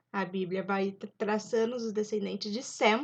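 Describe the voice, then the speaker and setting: A woman talks at a fairly high pitch. Behind her, the background stays quiet. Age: 20s. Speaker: YouTuber, Bible storyteller. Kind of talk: casual Bible study retelling. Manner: informal, with hesitations.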